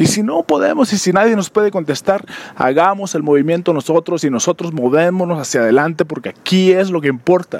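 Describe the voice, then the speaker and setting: The recording is dry and close with no echo as a man speaks fairly quickly in a high voice with ordinary pitch variation. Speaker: podcast host. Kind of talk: solo monologue commentary. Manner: halting, many fillers.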